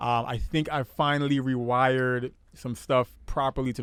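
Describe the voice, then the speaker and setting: A man speaks at a medium pitch. His delivery is monotone and flat. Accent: New York. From Brooklyn, New York. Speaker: podcast host. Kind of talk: casual chat.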